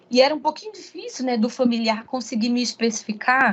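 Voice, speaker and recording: Here a woman speaks in a normal speaking voice. Her pitch is fairly high, with ordinary pitch variation. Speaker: pharmacist, guest lecturer. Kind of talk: online lecture. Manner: frequent fillers and repetitions.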